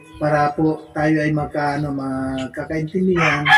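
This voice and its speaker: A Visayan accent with music in the background. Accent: Visayan-sounding intonation. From Ilocano, Philippines. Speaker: community-help vlogger. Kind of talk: casual vlog talk to interviewee.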